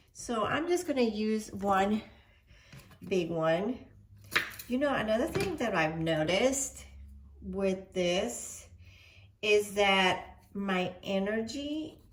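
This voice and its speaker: A woman's medium-pitched voice at a very slow pace, with long, frequent pauses and audible room echo. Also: lively intonation. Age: 60s. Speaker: cooking vlogger. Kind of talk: cooking tutorial with personal chat. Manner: chatty, with fillers.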